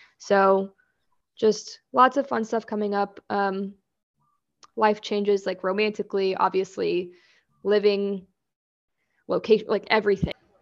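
Over a quiet background, a woman with an American accent speaks at a fairly slow pace in a medium pitch, her intonation monotone and flat, with long, frequent pauses. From Kansas. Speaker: clothing designer and podcaster. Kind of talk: casual chat.

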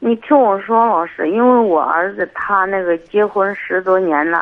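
This woman speaks at a fairly slow pace in a medium pitch. Her pitch varies in an ordinary way. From Hebei. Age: 50s. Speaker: caller. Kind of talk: call-in advice talk. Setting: phone call. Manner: soft-spoken; halting.

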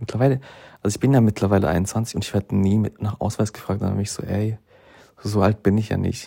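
Very fast and somewhat breathy, the dark, mellow voice sounds dry and close with no echo in a very clean recording with a silent background. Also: man, fairly low pitch for a man. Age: 20s. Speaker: podcast host. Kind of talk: casual monologue. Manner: hesitant, many fillers.

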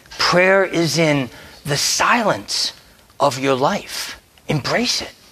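A man with an American accent and fairly high pitch, very slow with long, frequent pauses and lively intonation, over noticeable background noise. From US, Delaware. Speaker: priest. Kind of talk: sermon. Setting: church.

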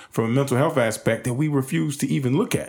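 In an unremarkable speaking voice, a man keeps a fairly quick pace. His medium pitch shows ordinary variation. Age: 30s. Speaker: support services CEO. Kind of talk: casual chat.

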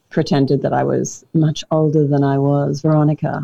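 With an Australian accent, a woman speaks at a moderate pace with a very deep, low pitch. Her intonation is monotone and flat. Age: 30s. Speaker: comedian and former radio host. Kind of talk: casual chat.

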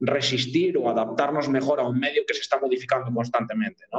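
A man is talking. His voice rests at a medium pitch. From Spain, Cantabria (Pas valleys). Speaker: nutritionist. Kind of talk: interview. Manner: halting.

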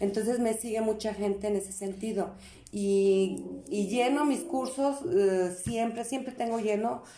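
A woman with a Mexican accent, fairly high in pitch with a dark, mellow tone and ordinary pitch variation, at a fairly slow pace amid audible room echo. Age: 50s. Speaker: mother of the host. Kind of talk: casual chat.

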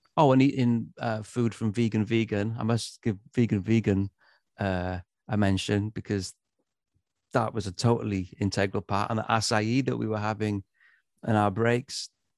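Dry and close with no echo, a man's fairly low voice keeps a moderate pace and fairly even intonation. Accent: Welsh. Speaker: musician. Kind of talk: casual chat.

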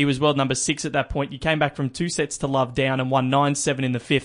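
Against a quiet background, a man with an Australian accent talks at a fairly quick pace and a fairly high pitch. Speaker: podcast host. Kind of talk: news reading; casual chat. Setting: studio.

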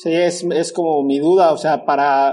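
At a moderate pace, a man speaks with a high pitch and a dark, mellow tone. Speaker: podcast host, agronomist. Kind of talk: interview.

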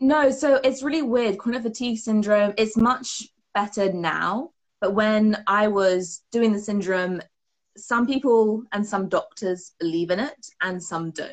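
A woman talks in a British accent at a fairly high pitch. She keeps a fairly slow pace with ordinary pitch variation. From UK. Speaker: performance mindset coach. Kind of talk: casual interview chat.

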